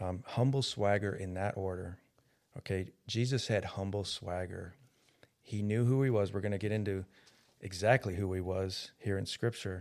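On a very clean recording with a silent background, a man with an unremarkable speaking voice talks at a moderate pace, his pitch fairly low and his intonation fairly even. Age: 50s. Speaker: podcast co-host. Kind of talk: casual religious discussion.

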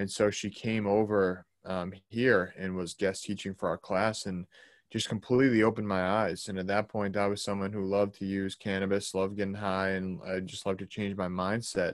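A man with an American accent speaks at a moderate pace with hardly any pauses, his fairly low voice monotone and flat, in a very clean recording with a silent background. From Boston, Massachusetts. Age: 20s. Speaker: holistic health coach. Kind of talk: casual interview.

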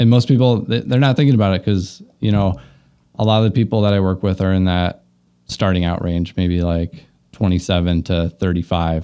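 A man's very deep, low voice with a dark, mellow tone at a fairly quick pace, on a very clean recording with a silent background. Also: ordinary pitch variation. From US Midwest, southwest Minnesota. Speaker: financial advisor. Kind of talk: interview.

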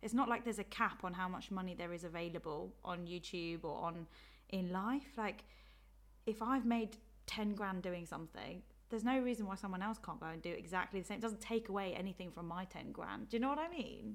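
A woman's medium-pitched voice with an English accent, fairly quick in pace with ordinary pitch variation. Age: 20s. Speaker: social media influencer and YouTuber. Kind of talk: casual chat. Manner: laughs often.

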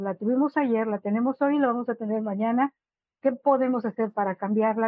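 A woman speaks in a normal speaking voice at a fairly high pitch. Her pitch variation is ordinary and her pace fairly quick. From Monterrey, Mexico. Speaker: patient advocate. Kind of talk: webinar panel discussion.

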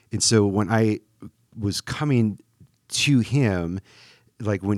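On a very clean recording with a silent background, a man with an American accent speaks at a very slow pace in a fairly low pitch with ordinary pitch variation. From Wisconsin, US Midwest. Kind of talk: casual conversation about faith.

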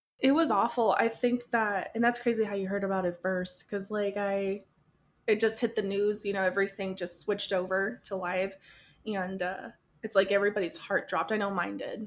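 A plain, everyday voice: a woman with an American accent, medium in pitch, fairly even in intonation, at a moderate pace, in a very clean recording with a silent background. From Tucson, Arizona. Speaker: podcaster. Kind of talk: casual chat.

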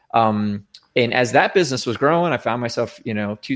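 Here is a man with a plain, everyday voice at a medium pitch, speaking at a fairly quick pace. The recording is very clean, with a silent background. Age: 40s. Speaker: former IT company CEO and Marine veteran. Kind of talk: casual interview.

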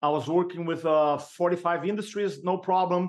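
A man with a high pitch and a Brazilian accent speaks with ordinary pitch variation. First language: Portuguese. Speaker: sales and speaking coach. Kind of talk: podcast interview.

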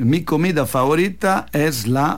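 A man speaks with vocal fry in a Roman Italian accent. His intonation is lively. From Italy, Rome. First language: Italian (speaking Spanish). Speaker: Italian restaurant owner. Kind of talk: radio interview. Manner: halting, mixes Italian into Spanish.

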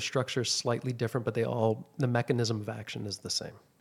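A man with vocal fry, medium pitch, and a very fast pace. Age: 50s. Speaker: aesthetic injector and clinic owner. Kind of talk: casual chat.

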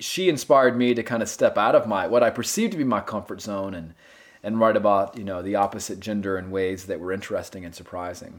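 With a North Carolina accent, a man speaks very fast at a fairly low pitch, with ordinary pitch variation and big swings in loudness, on a very clean recording with a silent background. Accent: US Southern (North Carolina). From North Carolina (Gastonia, western NC). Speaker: novelist. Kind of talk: interview.

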